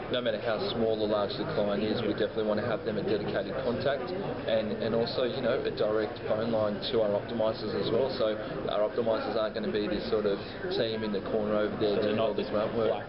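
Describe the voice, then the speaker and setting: Someone talks at a very fast pace over loud background noise. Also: man. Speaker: company sales director. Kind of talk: interview answer. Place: hall. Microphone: phone near.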